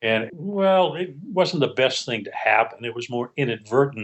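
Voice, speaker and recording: Here is a man with a plain, everyday voice. His intonation is lively and his pace moderate. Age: 60s. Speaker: criminal defense attorney. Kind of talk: interview. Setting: studio.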